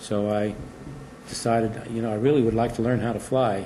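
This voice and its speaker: With an American accent, a man speaks at a moderate pace and medium pitch in a monotone, flat intonation, and audible room echo surrounds him. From New York City (Queens). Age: 70s. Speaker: retired space program engineer. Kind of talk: oral history interview. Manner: conversational with frequent hesitations.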